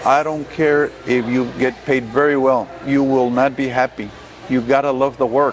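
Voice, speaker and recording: A man with an American accent speaks at a moderate pace in a medium pitch. His intonation is monotone and flat, and there is noticeable background noise. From Texas, Rio Grande Valley (Starr County). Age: 60s. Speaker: judge and attorney. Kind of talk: interview.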